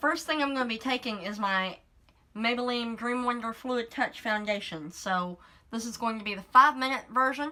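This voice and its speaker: Her pitch is fairly high and her tone bright and sharp. The woman moves at a moderate pace with ordinary pitch variation. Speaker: beauty vlogger. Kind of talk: tutorial. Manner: casual.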